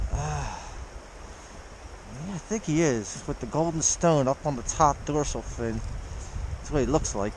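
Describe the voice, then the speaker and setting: A man with an American accent speaks at a moderate pace, leaving long, frequent pauses. Noticeable background noise runs underneath. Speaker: fly-fishing vlogger. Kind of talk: casual outdoor vlog commentary. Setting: outdoors by a creek in freezing weather. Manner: excited, exclaiming. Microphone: muffled by face mask.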